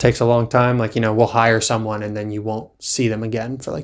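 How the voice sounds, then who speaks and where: A man's medium-pitched voice, very fast, with fairly even intonation. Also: very clean recording, silent background. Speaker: podcast co-host. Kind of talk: casual chat. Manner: monotone.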